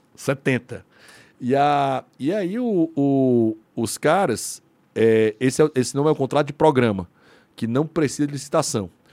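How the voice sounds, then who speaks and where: A man with an ordinary speaking voice and a fairly high pitch talks at a fairly slow pace with ordinary pitch variation, in a dry, close sound with no echo on a very clean recording with a silent background. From Brazil, Ceará (Fortaleza). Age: 40s. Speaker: lawyer and libertarian think tank member. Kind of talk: casual chat.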